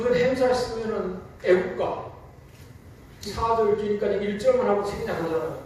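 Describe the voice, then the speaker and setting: Over noticeable background noise and audible room echo, a man with a high pitch talks at a moderate pace in fairly even intonation, leaving long, frequent pauses. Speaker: church deacon. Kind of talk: testimony.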